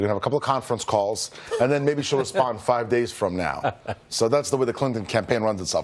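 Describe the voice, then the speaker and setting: Amid noticeable background noise, a man talks at a very fast pace in an animated tone, medium in pitch with ordinary pitch variation. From Russia, moved to US at eleven. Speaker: political commentator. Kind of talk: TV news interview.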